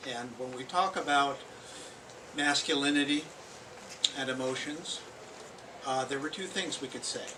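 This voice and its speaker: Amid noticeable background noise and audible room echo, a man with a fairly high pitch speaks with fairly even intonation and long, frequent pauses. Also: moderate pace. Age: 70s. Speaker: poet. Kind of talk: informal remarks at poetry open mic. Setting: bookstore poetry reading with live audience. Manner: hesitant, with frequent fillers.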